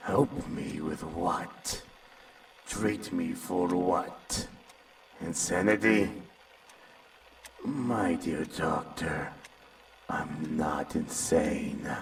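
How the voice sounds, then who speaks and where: A man in a put-on character voice, very slow, with long, frequent pauses over clear background noise. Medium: audio drama. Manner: calm, unsettling, condescending.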